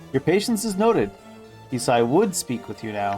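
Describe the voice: A gravelly put-on character voice at a low-to-middle pitch and fairly quick pace, with very wide pitch swings and clear music in the background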